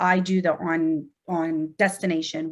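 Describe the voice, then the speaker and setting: A woman with an American accent, fairly low pitch, and flat, monotone intonation at a moderate pace. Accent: Pittsburgh accent, per others. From Pittsburgh, US. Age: 40s. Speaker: nurse anesthetist and educator. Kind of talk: podcast interview. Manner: conversational, filler words.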